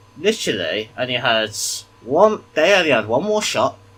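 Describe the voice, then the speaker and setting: Pitch swings very widely throughout. Noticeable background noise sits under the voice. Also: man. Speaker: gaming YouTuber. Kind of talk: gameplay commentary. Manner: quiet.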